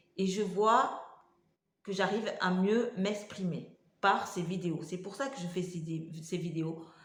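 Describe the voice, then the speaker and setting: Amid audible room echo, a woman with a medium pitch speaks very slowly in a somewhat breathy voice. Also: ordinary pitch variation. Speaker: vlogger with multiple sclerosis. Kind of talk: casual vlog talk to camera. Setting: home kitchen. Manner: halting, many hesitations.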